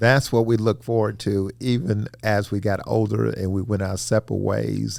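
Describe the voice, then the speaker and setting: A man with a Mississippi accent, a fairly low pitch, ordinary pitch variation and hardly any pauses. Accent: Mississippi Southern. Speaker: retired company administrator, father. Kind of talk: casual family interview. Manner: loud, forceful when excited.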